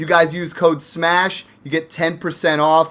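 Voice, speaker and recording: A man speaks in an excited tone at a fairly high pitch. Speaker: fantasy football podcast host. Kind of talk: casual podcast chat. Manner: excited, fast.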